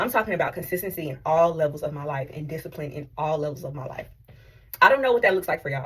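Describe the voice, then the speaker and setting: Somewhat breathy, the woman's voice sits fairly low in pitch. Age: 30s. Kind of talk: casual talk to camera. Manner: candid, unfiltered.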